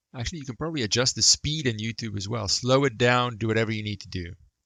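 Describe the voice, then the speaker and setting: Pitched fairly low, a man's voice shows ordinary pitch variation. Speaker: math teacher. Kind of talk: lecture. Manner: fast.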